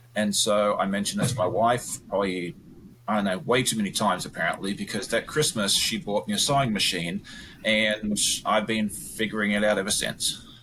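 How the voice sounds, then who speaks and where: A man with an Australian accent, fairly low in pitch, at a fairly quick pace, with ordinary pitch variation. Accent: Australian, largely retained. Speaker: quilter and quilting YouTuber. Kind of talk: podcast interview.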